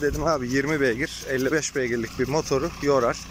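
Noticeable background noise surrounds a man talking at a moderate pace, with a dry sound and no echo. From Turkey, Afyon province; Turkey. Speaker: generator seller. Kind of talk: product demonstration vlog. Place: farm machine. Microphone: phone near.

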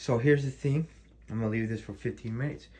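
A man with a somewhat breathy voice speaks with fairly even intonation. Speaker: home herbal tea demonstrator. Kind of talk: casual tutorial. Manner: halting, repetitive. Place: kitchen. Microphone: phone near.

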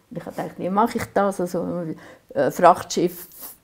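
Someone speaks with a Swiss accent against a quiet background. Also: woman. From Aargau, Switzerland. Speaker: painter. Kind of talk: oral history interview answer. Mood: calm, reflective, gently animated. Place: workshop.

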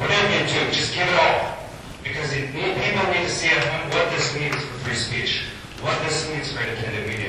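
Delivered at a fairly quick pace, the speech comes with strong room echo and noticeable background noise. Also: man. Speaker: community radio supporter. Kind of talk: impassioned public speech at a meeting. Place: hall. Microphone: camera far.

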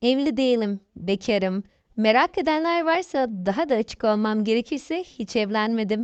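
Against a quiet background, a woman with an unremarkable speaking voice talks at a moderate pace, her fairly high pitch moving with lively intonation. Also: very even loudness, dry, close sound with no echo. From Thrace, Turkey (Kırklareli). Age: 30s. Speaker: author. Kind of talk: interview.

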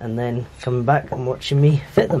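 A man talking at a moderate pace. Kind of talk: tutorial. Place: workshop. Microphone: camera far.

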